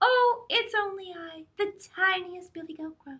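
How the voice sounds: A put-on character voice, squeaky and extremely high, talks at a moderate pace.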